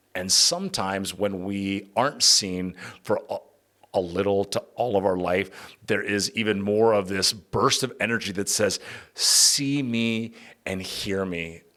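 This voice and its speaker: In a very clean recording with a silent background, a man with a fairly low pitch and a bright, sharp tone speaks at a fairly slow pace with fairly even intonation. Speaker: podcast host. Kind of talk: solo podcast monologue. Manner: casual, conversational.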